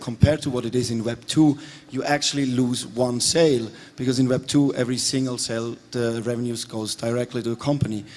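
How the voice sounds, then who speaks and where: A man at a medium pitch, fairly quick pace and fairly even intonation, over noticeable background noise. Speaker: game developer. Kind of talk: conference panel discussion.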